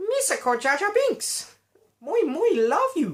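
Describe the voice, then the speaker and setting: A put-on character voice with an extremely high pitch makes very wide pitch swings. The pace is fairly slow. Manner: goofy, put-on.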